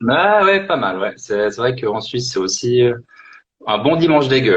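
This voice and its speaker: This man speaks at a fairly slow pace with a slight Swiss French accent, his pitch swinging very widely. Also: medium pitch for a man. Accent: light Swiss French. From Switzerland.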